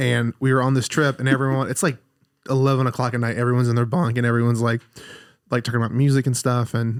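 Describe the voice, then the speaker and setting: Over a silent background in a very clean recording, a man speaks at a very fast pace. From Alabama. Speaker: podcast host. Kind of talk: casual chat. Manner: animated.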